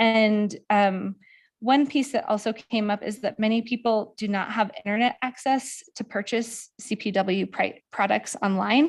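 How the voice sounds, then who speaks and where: Here is a woman with a normal speaking voice at a fairly high pitch and a fairly slow pace. Her pitch variation is ordinary, and the recording is very clean, with a silent background. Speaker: presenter reporting outreach findings. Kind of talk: public meeting presentation. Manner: many filler ums.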